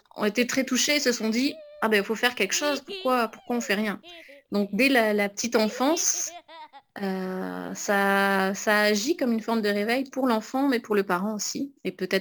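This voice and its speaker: A woman with a normal speaking voice, fairly high in pitch, at a moderate pace. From southwest France, near Pau. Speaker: illustrator. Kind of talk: interview monologue.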